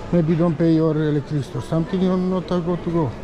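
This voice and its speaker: Fairly quick speech over crowd noise in the background. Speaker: travel vlogger. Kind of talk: casual vlog commentary. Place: hall. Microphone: phone near.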